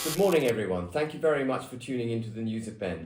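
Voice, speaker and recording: The man's voice sits at a medium pitch and is somewhat breathy. His intonation is lively. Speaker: political commentator, show host. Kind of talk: interview questions, conversational.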